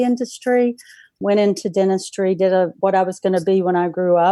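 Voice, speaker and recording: In a North Carolina accent, a woman speaks at a medium pitch with ordinary pitch variation and a dark, mellow tone. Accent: Southern US (North Carolina). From North Carolina, Charlotte. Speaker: practice management consultant. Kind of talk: interview.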